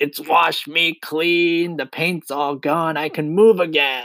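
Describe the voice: Shouting slowly in a put-on character voice, a man uses a fairly high, bright, sharp tone with vocal fry and a sing-song lilt. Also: fairly even intonation.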